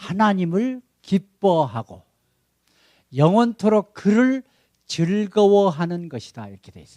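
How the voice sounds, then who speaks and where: A man with a Jeolla accent at a very slow pace, in a dry, close sound with no echo. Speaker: missionary pastor. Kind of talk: sermon. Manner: animated.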